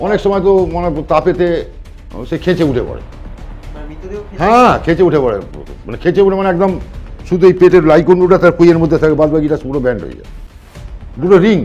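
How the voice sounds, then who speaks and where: Over music in the background, a man with a high pitch speaks with ordinary pitch variation and big swings in loudness. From West Bengal, India. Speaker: cremation worker and mason. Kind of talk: interview answer. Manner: casual, rambling.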